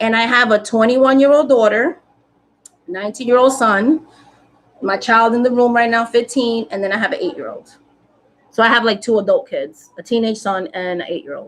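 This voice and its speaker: In a New York accent, a woman talks at a fairly quick pace and fairly high pitch. Her tone is animated, with ordinary pitch variation. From New York City, South Bronx. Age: 40s. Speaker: spiritual content creator. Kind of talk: casual chat. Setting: live stream.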